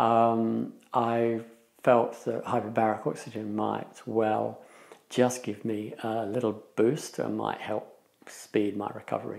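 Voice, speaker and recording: A man talks at a very slow pace with a quiet background. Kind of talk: interview answer. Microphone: lapel.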